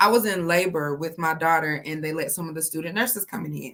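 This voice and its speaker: With an American accent, a woman talks at a fairly quick pace in a fairly low pitch, with ordinary pitch variation. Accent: sounds less local to Georgians, code switches. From South Georgia, US (Fitzgerald). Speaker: guest. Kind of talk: casual chat.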